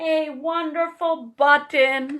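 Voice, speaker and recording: A woman's put-on character voice, high-pitched and delivered in a flat monotone. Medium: read story. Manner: slow, musing.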